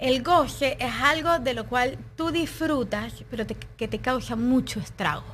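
Hardly pausing at all, a woman talks at a fairly slow pace. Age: 30s. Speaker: juice maker, wellness guide. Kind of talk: casual interview.

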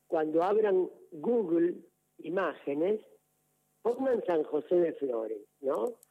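A man speaks with a Rioplatense accent and lively intonation. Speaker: parish priest. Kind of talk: radio interview. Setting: phone call. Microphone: telephone line.

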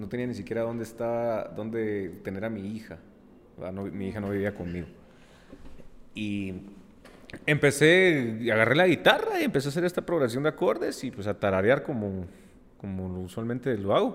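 Amid noticeable background noise, a man of medium pitch talks at a moderate pace with lively intonation, big swings in loudness, and long, frequent pauses. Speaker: musician, singer. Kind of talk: casual interview.

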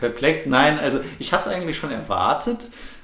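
A man with a fairly high pitch speaks amid noticeable background noise and audible room echo. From Ruhr area, Germany (Bochum). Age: 20s. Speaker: podcast co-host. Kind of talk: casual chat. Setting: living room used as home studio.

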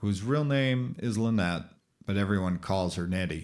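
A fairly low-pitched man with an American accent and ordinary pitch variation, in a very clean recording over a silent background. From Minnesota. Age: 50s. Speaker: podcaster with epilepsy. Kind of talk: reading aloud; casual monologue. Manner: halting.

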